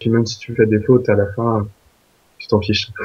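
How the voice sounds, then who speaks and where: Somewhat breathy, a man speaks with a fairly low pitch and monotone, flat intonation. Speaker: exchange student. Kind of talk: interview. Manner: hesitant, many fillers.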